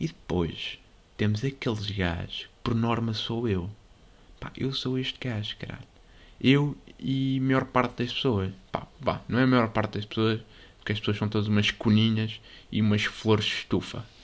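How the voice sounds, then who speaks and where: A man with a European Portuguese accent talks at a moderate pace and a medium pitch. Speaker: podcast host. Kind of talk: casual monologue. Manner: animated.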